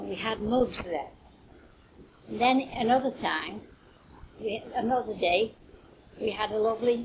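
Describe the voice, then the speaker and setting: A woman's fairly high voice with a Potteries accent, over noticeable background noise. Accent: Potteries (North Staffordshire) English. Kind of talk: interview answer. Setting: home cassette recording. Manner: reminiscing, conversational.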